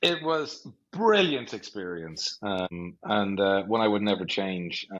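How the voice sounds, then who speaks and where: With an Irish accent, a man speaks at a very slow pace and fairly low pitch, his intonation lively. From Ireland, North County Dublin. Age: 40s. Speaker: business executive. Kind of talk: podcast interview.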